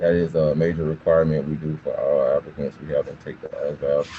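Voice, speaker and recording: Speaking fairly quickly with an American accent, a man is heard over noticeable background noise. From US South, south Georgia small town. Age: 20s. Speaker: army recruiter. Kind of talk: informational talk to students. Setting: video call. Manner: casual.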